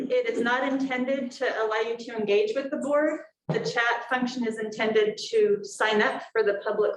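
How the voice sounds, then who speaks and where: A woman talks loudly at a moderate pace with a high pitch. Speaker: school board chair. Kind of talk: public meeting. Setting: board meeting room with microphone, streamed on Zoom. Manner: projecting loudly.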